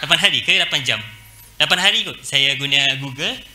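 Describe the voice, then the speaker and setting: This man's fairly slow speech carries audible room echo along with noticeable background noise. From Malaysia. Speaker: university lecturer. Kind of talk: guest lecture. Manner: relaxed, casual; many hesitation fillers.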